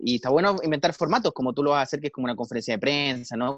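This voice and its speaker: A man with a Chilean accent speaks at a medium pitch, with ordinary pitch variation. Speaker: podcast co-host. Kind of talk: casual chat.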